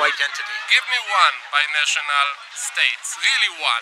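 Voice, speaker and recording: A man talks with an Israeli accent. The sound is dry with no echo, though background noise is noticeable. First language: Hebrew. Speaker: interviewee on the street; interviewee. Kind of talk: street interview. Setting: outdoors. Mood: argumentative, challenging. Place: street. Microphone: phone near.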